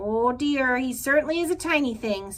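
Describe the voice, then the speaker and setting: A woman uses a put-on character voice, high in pitch, at a moderate pace. Light background noise is present. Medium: read story. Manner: blunt, squawking.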